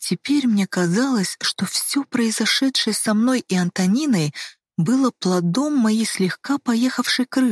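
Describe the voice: Over a quiet background, the voice is plain reading aloud.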